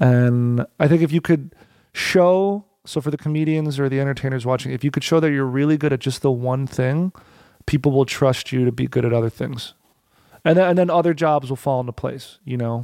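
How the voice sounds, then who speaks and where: Speaking at a fairly quick pace with an American accent, a man has a fairly high pitch, a dark, mellow tone and ordinary pitch variation. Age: 30s. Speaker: comedian and musician. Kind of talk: casual interview chat.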